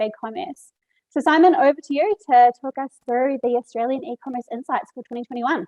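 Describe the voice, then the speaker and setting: The delivery has a New Zealand accent. The pace is very fast. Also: woman. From New Zealand, Marlborough Sounds. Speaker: webinar host. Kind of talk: event hosting.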